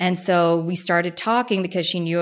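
Over a silent background in a very clean recording, a woman talks at a fairly quick pace with a fairly low pitch and flat, monotone intonation. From New Jersey. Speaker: food brand founder. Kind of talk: interview.

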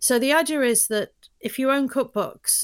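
In a London accent, a woman speaks on a very clean recording with a silent background. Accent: London British, kept despite years in US. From London, England. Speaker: business founder. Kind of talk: casual interview conversation.

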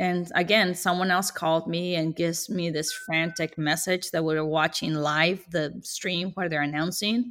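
In a very clean recording with a silent background, a woman speaks with a Spanish accent. Her pitch is fairly low, her intonation fairly even, and her pace moderate. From Mexico (Sonora). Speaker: tortilla maker and business owner. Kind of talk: interview.

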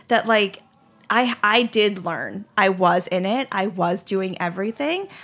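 With music in the background, a woman speaks in an American accent. Her pitch is medium, with ordinary variation. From US South, Charlotte, North Carolina. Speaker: ice cream company founder. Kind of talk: interview.

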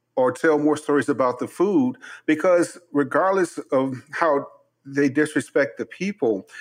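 A man's normal speaking voice, fairly high in pitch with ordinary pitch variation, at a fairly slow pace, with an American accent, dry, close sound with no echo and a quiet background. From Chicago. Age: 50s. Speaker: chef and podcast host. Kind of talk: interview.

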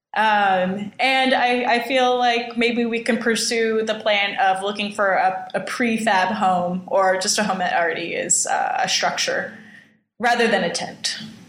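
Audible room echo surrounds a woman with an American accent and a fairly high pitch, who talks at a fairly slow pace with very even loudness. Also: ordinary pitch variation. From Southern California. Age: 20s. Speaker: homesteading hopeful in a couple's dispute. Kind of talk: casual chat.

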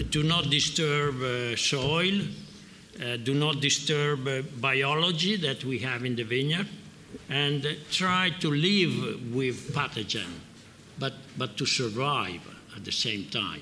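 Over noticeable background noise, a man with an Italian accent speaks very slowly at a fairly high pitch, his intonation lively. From Piedmont, Italy. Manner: halting, searching for words.

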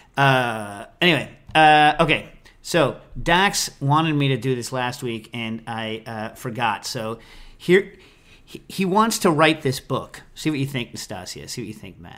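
The speaker is a man with medium pitch and an unremarkable speaking voice. He goes at a fairly slow pace with lively intonation. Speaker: podcast host, cocktail and food science expert. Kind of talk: casual chat. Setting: remote recording.

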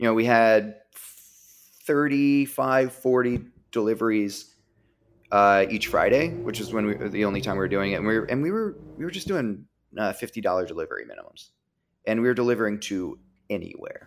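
Here a man with an American accent talks at a fairly quick pace, using long, frequent pauses. His pitch is medium, with ordinary variation. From Virginia. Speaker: bar owner and beverage director. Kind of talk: casual interview chat. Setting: studio.

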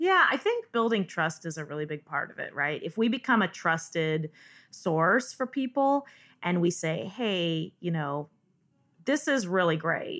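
In a very clean recording with a silent background, a woman with an American accent speaks at a fairly slow pace. Her fairly low voice moves in very wide pitch swings. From Northern California. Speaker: cheesemonger. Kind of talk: interview.

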